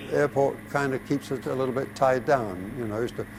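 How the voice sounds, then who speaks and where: Speech moves at a fairly quick pace over noticeable background noise. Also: man. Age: 80s+. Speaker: retired pilot and airport owner. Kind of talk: interview. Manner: halting.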